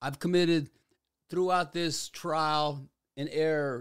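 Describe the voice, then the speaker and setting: Speaking at a very slow pace, a man uses a fairly high pitch. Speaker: podcast host. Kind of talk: solo podcast monologue. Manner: casual, slangy; halting, stumbles over words.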